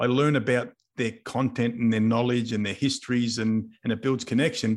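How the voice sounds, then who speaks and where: On a very clean recording with a silent background, a man with an Australian accent speaks fairly quickly at a medium pitch with fairly even intonation. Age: 50s. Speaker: business coach and mentor. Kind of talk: casual interview.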